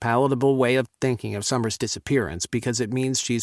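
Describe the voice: The voice delivers plain reading aloud with fairly even intonation against a quiet background.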